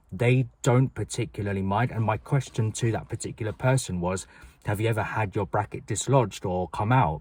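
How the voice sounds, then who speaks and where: A fairly low-pitched man with a British accent, fairly quick pace and ordinary pitch variation, on a very clean recording with a silent background. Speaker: vlogger. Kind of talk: personal vlog talk to camera. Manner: fast; loud, projected.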